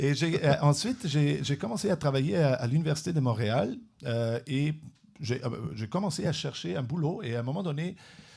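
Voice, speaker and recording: A man with a non-native accent speaks at a moderate pace. His voice is fairly high and somewhat breathy, with lively intonation. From Europe. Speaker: neuroscience researcher, professor. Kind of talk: interview. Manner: halting, many repetitions.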